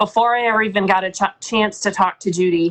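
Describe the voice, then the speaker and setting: A woman's unremarkable speaking voice, fairly high in pitch, with ordinary pitch variation. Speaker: audiobook narrator. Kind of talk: interview answer. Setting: live video call.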